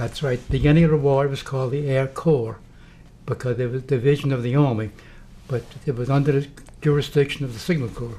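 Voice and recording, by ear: A man talks at a fairly quick pace in a medium pitch. His tone is dark and mellow, and his intonation stays fairly even.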